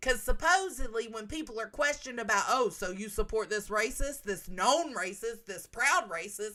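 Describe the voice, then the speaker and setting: Big swings in loudness and lively intonation mark this woman's fairly high voice in a Southern US accent. She talks with hardly any pauses. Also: moderate pace. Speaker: livestreamer. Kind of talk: casual livestream chat. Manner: animated.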